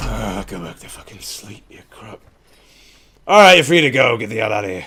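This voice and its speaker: A man's gruff, gravelly put-on character voice of medium pitch, with lively intonation at a moderate pace. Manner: uncaring, curt.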